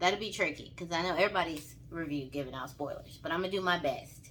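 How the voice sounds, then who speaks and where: A woman with a Southern accent, animated in tone and bright and sharp in sound. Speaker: vlogger, movie reviewer. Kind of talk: casual movie review vlog. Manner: animated, informal.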